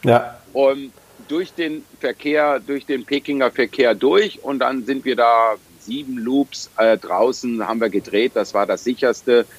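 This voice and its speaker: Medium in pitch with ordinary pitch variation, a man talks very slowly in a dry, close sound with no echo. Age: 50s. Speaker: triathlete. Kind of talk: interview.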